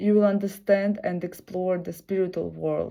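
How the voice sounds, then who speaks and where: In a Russian accent, a woman speaks at a medium pitch with a dark, mellow tone and monotone, flat intonation. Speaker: video blogger. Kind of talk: reading aloud. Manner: halting.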